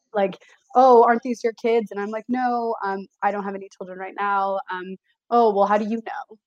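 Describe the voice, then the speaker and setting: A woman with an American accent speaks in a normal speaking voice at medium pitch and a moderate pace, her intonation fairly even but her loudness swinging widely, in a dry, close recording with no echo. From San Francisco Bay Area, California. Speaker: behavior analysis student. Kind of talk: casual chat.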